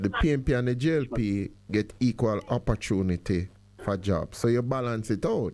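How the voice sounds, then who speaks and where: A man speaks with a Jamaican accent. His voice sits at a medium pitch with a dark, mellow tone. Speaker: radio host. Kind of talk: call-in discussion.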